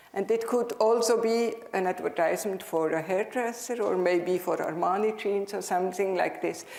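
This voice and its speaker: Someone in a Swiss German accent speaks with hardly any pauses and fairly even intonation, over noticeable background noise and audible room echo. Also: woman, medium pitch for a woman, moderate pace. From Switzerland (German-speaking). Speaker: dental professor. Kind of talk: conference lecture. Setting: stage with audience.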